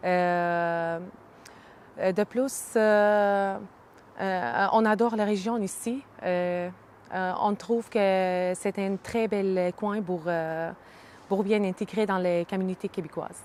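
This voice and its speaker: With a slight Arabic accent, a woman speaks at a medium pitch and a very slow pace, with fairly even intonation and long, frequent pauses. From Syria, Hama region. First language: Arabic (speaking French). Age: 30s. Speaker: immigrant, early childhood educator. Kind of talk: interview testimony. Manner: halting, many hesitations.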